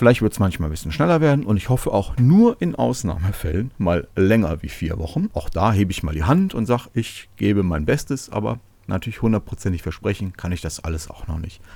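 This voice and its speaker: A man's fairly low, dark, mellow voice at a fairly quick pace, with hardly any pauses and very wide pitch swings. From Germany, Cologne. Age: 30s. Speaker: podcast host, software developer. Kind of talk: solo podcast monologue.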